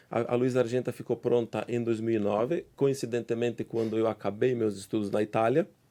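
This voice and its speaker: A man talks at a fairly quick pace with a dark, mellow tone and medium pitch. His intonation stays fairly even and his loudness very even. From southern Brazil, Serra Gaúcha (Flores da Cunha, Rio Grande do Sul). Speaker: winemaker and professor. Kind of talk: podcast interview.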